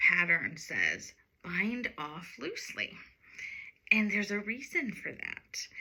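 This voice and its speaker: A woman with an American accent talks very slowly in a medium pitch, with vocal fry. Her intonation is lively. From United States. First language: Sinhalese. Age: 40s. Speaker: knitting podcaster. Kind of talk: casual storytelling monologue. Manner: occasional word-searching pauses.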